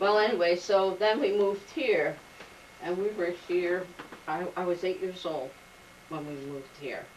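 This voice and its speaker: A woman with a New Jersey accent speaks at a moderate pace, leaving long, frequent pauses. Noticeable background noise is present. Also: medium pitch for a woman, ordinary pitch variation. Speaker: oral history interviewee. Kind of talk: oral history interview. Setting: home.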